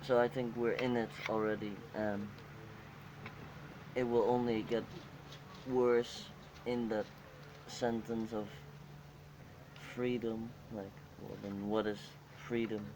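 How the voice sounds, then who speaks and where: A man with a Dutch accent speaks at a very slow pace in a monotone, flat intonation, with long, frequent pauses. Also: medium pitch for a man. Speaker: interviewee. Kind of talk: group interview. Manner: halting.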